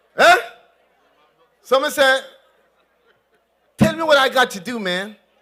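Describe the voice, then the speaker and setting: Raising and projecting his voice, a man speaks at a fairly slow pace and an extremely high pitch in a Jamaican accent. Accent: Jamaican, code-switching to patois. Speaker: politician. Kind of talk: political rally speech. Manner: animated.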